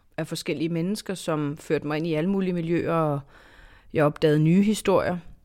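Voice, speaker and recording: This woman has a plain, everyday voice at a fairly low pitch, with ordinary pitch variation. The recording is very clean with a silent background. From southern Zealand, Denmark. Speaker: foreign correspondent and author. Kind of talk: interview conversation.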